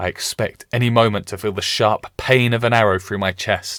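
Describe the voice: Plain reading aloud with fairly even intonation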